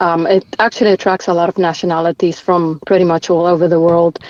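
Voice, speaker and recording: A woman with a South African accent, fairly low in pitch and fairly quick in pace. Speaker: ultramarathon runner. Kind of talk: podcast interview.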